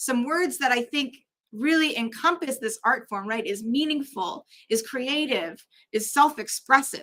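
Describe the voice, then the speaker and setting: A woman projects a raised, high voice with a bright, sharp tone, lively intonation and a fairly slow pace. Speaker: drag artist and chaplain. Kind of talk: conference talk.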